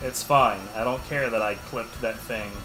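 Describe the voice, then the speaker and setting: With an American accent, a man speaks at a medium pitch and a fairly slow pace, his intonation fairly even, over noticeable background noise and audible room echo. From Texas. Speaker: video game streamer. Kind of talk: casual livestream commentary. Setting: livestream.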